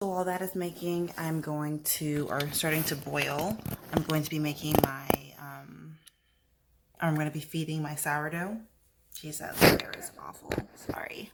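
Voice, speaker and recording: Noticeable background noise sits behind a quiet woman with a very deep, low pitch and fairly even intonation. She moves at a fairly slow pace with long, frequent pauses. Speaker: lifestyle vlogger and yoga instructor. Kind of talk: vlog narration. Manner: quiet, hushed; casual with fillers.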